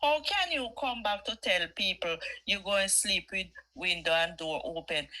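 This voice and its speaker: This woman has a Jamaican accent and a bright, sharp tone. Her pitch is medium and her pace fairly slow. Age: 60s. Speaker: caller. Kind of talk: casual chat. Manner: animated.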